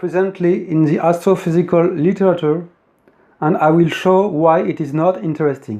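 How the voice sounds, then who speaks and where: The speaker has a French accent, a dark, mellow tone and ordinary pitch variation. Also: man. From France. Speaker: independent physics theorist. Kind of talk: lecture. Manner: formal.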